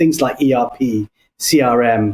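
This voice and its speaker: A man with a London accent speaks with lively intonation. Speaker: business consultant. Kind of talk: podcast interview. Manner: hesitant, many fillers.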